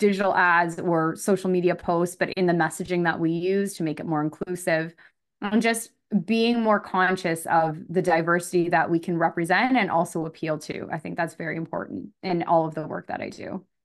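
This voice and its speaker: A woman with a Canadian accent speaks at a fairly low pitch and a fairly quick pace. Her intonation stays fairly even against a quiet background. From Canada, Scarborough, Ontario. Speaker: media scholar and marketing manager. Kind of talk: interview. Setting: remote call.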